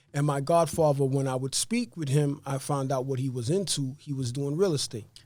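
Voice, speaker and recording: A fairly high-pitched man with a New York accent, dark, mellow tone, and fairly quick pace. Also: ordinary pitch variation. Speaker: real estate investor. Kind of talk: interview. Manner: fast.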